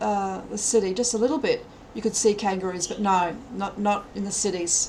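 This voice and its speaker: Someone with an Australian accent speaks over music in the background. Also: woman. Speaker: streamer. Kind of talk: live stream chat. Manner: fast.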